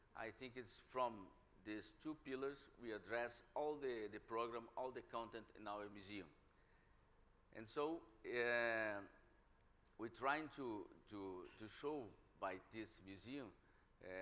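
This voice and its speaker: A man with a Brazilian Portuguese accent, medium pitch and a bright, sharp tone, at a very slow pace with ordinary pitch variation and long, frequent pauses. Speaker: museum director. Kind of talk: panel discussion. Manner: halting, many repetitions.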